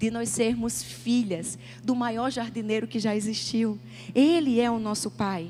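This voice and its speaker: Over music in the background, a woman talks at a fairly slow pace in a Paraíba accent. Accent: northeastern Brazilian (Paraíba). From Northeast Brazil, João Pessoa, Paraíba. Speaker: pastor. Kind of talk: sermon. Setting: church stage with audience.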